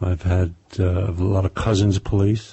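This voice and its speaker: A man's very deep, low voice, somewhat breathy, with monotone, flat intonation. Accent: New York. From New York, Brooklyn. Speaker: crime novelist, former police officer. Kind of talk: interview.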